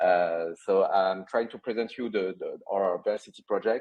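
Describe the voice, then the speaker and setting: A man's very deep, low voice with a French accent, fairly even intonation and a fairly slow pace. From France. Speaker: company CEO. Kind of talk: interview. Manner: halting, many fillers.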